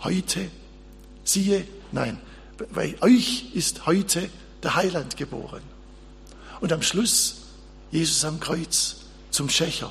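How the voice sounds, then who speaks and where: Amid audible room echo, a man speaks very slowly with long, frequent pauses. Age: old. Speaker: pastor. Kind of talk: sermon.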